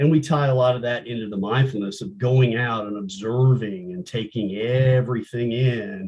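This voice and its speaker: A man's medium-pitched, somewhat breathy voice at a moderate pace, with ordinary pitch variation. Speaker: co-founder of veteran art program. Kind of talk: interview conversation.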